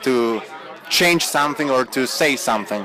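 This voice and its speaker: Fairly high male speech at a moderate pace, noticeable background noise behind it. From Italy, Turin. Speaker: actor. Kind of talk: interview. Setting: party at a film festival.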